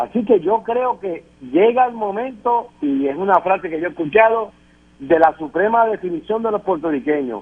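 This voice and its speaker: Speaking at a moderate pace, a man uses lively intonation in a high pitch. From Puerto Rico. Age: 60s. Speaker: political panelist. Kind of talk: political panel discussion. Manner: emphatic.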